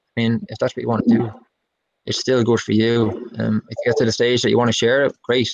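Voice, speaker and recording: Over a quiet background, a man at a medium pitch talks at a very fast pace. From Ireland. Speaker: musician and songwriter; guest. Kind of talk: casual interview chat. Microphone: video call.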